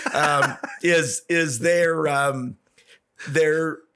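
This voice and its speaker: A man talks with a Canadian accent. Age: 60s. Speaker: businessman and former city councillor. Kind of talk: podcast interview.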